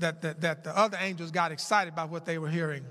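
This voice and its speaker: A man speaks at a fairly quick pace in a high voice with a bright, sharp tone. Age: 70s. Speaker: pastor. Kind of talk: sermon. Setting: church. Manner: halting.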